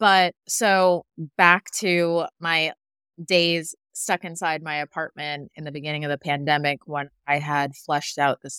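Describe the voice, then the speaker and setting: An ordinary speaking voice from a woman with an American accent, fairly low in pitch, at a moderate pace, in a very clean recording with a silent background and a dry, close sound with no echo. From New York, Westchester. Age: 30s. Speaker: content creator. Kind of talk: casual interview.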